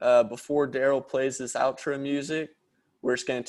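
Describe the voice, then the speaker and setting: This is an unremarkable speaking voice with an American accent and ordinary pitch variation. The recording is very clean, with a silent background. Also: man. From Dallas, Texas. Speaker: podcast co-host. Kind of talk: casual chat.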